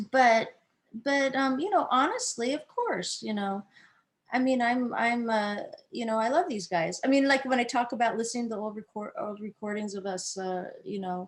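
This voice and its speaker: A woman's fairly high-pitched voice at a moderate pace, with ordinary pitch variation. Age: 60s. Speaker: musician. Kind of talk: casual chat. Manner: halting.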